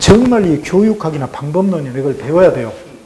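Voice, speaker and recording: Over noticeable background noise and audible room echo, a man with a high pitch speaks at a moderate pace. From South Korea, Sinan, South Jeolla. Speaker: museum director, former Korean teacher. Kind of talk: interview.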